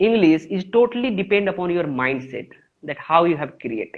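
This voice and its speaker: Speech comes at a moderate speed. It carries an Indian accent. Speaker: English teacher. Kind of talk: interview. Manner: halting.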